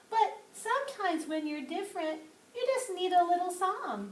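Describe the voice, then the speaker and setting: In a put-on character voice, a woman speaks with a squeaky, extremely high pitch and a gentle tone. Her pace is moderate. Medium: read story. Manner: gentle, encouraging.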